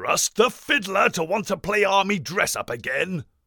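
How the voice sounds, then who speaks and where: Delivered at a moderate pace, the voice has a dry, close sound with no echo. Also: man. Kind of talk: comic overacting. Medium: comedy sketch. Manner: pompous, flippant, upper-class.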